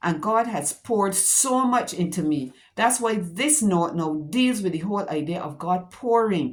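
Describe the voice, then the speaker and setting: A woman with a plain, everyday voice and medium pitch speaks at a fairly slow pace, with hardly any pauses. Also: lively intonation. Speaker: teacher giving devotional talks. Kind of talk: devotional talk.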